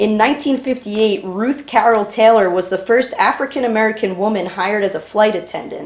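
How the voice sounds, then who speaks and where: A woman speaks at a fairly high pitch and a fairly quick pace, with hardly any pauses. Her pitch varies in an ordinary way, and there is noticeable background noise. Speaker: interviewer, granddaughter. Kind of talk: interview questions.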